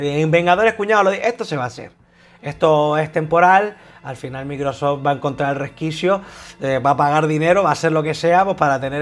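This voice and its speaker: Very fast speech from a man, fairly high in pitch, with ordinary pitch variation. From Spain. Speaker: gaming YouTuber. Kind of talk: casual monologue. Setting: at his desk. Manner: halting. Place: home room. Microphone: lapel.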